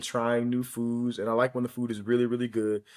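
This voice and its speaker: A man with an American accent, medium pitch, very fast delivery, on a very clean recording with a silent background. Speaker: podcast co-host. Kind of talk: casual chat.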